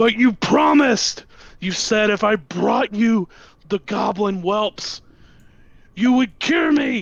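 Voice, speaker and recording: A man shouting in a put-on character voice, high-pitched, at a fairly slow pace with long, frequent pauses. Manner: yelling, desperate.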